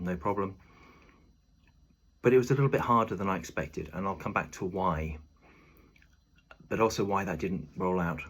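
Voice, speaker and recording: A man's very deep, low voice with a British accent, somewhat breathy, at a fairly quick pace with ordinary pitch variation. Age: 50s. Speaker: video diarist, former lifeguard and athlete. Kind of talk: personal video diary. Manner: halting, many filler ums.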